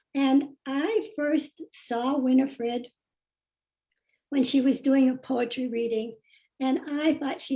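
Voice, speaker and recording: A woman's high voice with a dark, mellow tone, at a fairly slow pace and with ordinary pitch variation. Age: 80s+. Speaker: yoga teacher introducing speaker. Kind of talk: speaker introduction. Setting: video call.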